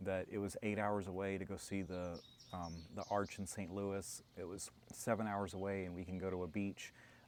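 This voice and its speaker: In an American accent, a man with a fairly low pitch and an unremarkable speaking voice talks at a moderate pace with fairly even intonation. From US South, Alabama. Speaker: long-distance hiker and project founder. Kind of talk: interview.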